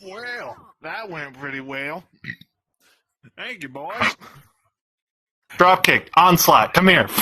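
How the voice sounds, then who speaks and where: In a put-on character voice, the speaker goes at a very slow pace with long, frequent pauses. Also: man, high pitch for a man. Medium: audio drama. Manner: bossy, threatening.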